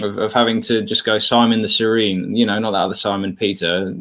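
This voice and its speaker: A man with an English accent and a bright, sharp tone, at a fairly quick pace with fairly even intonation. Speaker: podcast host. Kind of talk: casual chat, livestream interview. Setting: video call livestream.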